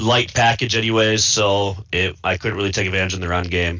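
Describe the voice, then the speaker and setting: With an American accent, a man talks at a fairly quick pace. His pitch is fairly low and his intonation fairly even. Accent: thick Midwest accent (per another player). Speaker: video game player. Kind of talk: post-game interview.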